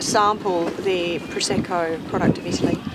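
Over clear background noise, a woman with a fairly low pitch talks at a moderate pace with fairly even intonation.

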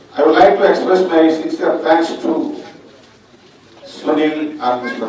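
Someone speaks at a moderate pace in a room with strong echo and noticeable background noise. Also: man. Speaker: guest. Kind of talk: formal speech.

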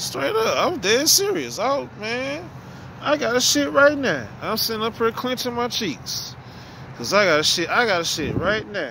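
Raised and projected, a man's voice comes at a moderate pace with a dry, echo-free sound and light background noise. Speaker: vlogger. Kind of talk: casual vlog chat. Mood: joking, storytelling. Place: street. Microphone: phone near.

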